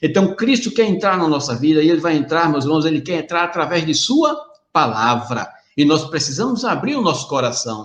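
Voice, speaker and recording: A man talks at a moderate pace with lively intonation and fairly high pitch. Audible room echo surrounds his voice. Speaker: preacher. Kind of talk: sermon. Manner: animated.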